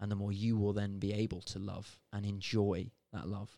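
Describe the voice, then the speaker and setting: With a British accent, a man speaks in a dark, mellow tone at a fairly low pitch. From Britain. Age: young. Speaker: podcast co-host. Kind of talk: casual chat.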